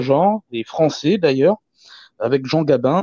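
A man with an unremarkable speaking voice talks at a fairly slow pace. His pitch is fairly high and his intonation is lively. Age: 30s. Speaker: film enthusiast, forum member. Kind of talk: casual panel discussion.

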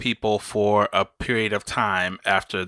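A man with an American accent speaks at a very slow pace in a bright, sharp tone with fairly even intonation, in a very clean, dry, close recording with no echo and a silent background. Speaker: podcast host. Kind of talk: casual chat.

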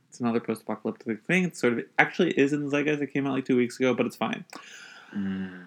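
Very fast speech comes from a man at a medium pitch. His intonation is lively. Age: 20s. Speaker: podcast co-host. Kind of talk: casual chat.

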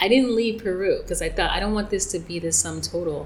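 Over noticeable background noise, a woman with a fairly high pitch talks at a very fast pace. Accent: American. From New York. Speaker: psychic and life coach. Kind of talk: interview. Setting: in person.

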